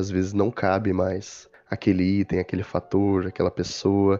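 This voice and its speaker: Over a quiet background, a man speaks at a moderate pace with a fairly low pitch and a dark, mellow tone. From interior of São Paulo state, Brazil. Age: young. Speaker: podcast co-host. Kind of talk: casual chat.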